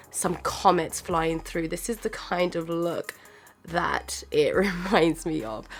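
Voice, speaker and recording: A woman speaks with music in the background. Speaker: beauty youtuber. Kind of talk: makeup tutorial voiceover. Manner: casual, chatty.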